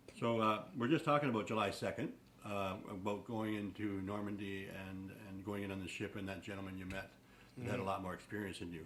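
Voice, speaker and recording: At a fairly quick pace, a man speaks in an unremarkable speaking voice, fairly low-pitched with fairly even intonation. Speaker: interviewer.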